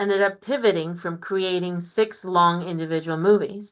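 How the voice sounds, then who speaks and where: Against a quiet background, a woman speaks in a medium pitch. Her pitch variation is ordinary. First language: Spanish. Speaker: physician researcher. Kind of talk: lecture.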